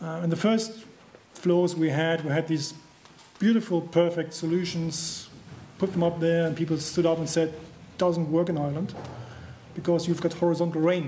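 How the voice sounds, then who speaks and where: With a German accent, a man speaks in a high pitch at a moderate pace, his intonation monotone and flat, with long, frequent pauses and light background noise. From Germany. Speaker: construction trainer. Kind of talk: conference presentation. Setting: stage with audience. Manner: halting. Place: hall. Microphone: podium.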